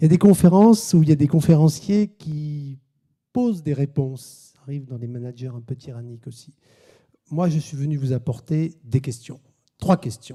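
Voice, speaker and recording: A man's fairly high, somewhat breathy voice has a dark, mellow tone, lively intonation and big swings in loudness. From southern France, Sète. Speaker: business lecturer and author. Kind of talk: conference talk. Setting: conference hall with audience. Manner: fast.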